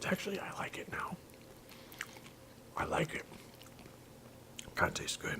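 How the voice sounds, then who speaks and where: Whispered words come at a moderate pace, broken by long, frequent pauses, with noticeable background noise. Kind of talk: ASMR eating video.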